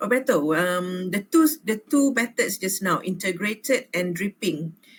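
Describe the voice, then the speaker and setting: Speaking at a fairly slow pace, a woman has a medium pitch and lively intonation. Her voice is somewhat breathy. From Malaysia. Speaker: university lecturer. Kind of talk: academic Q&A.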